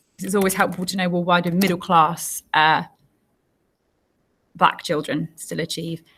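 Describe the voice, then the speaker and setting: A woman with an English accent speaks at a moderate pace in a fairly low, bright, sharp voice, her intonation monotone and flat, with long, frequent pauses. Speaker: teacher. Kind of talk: tutorial.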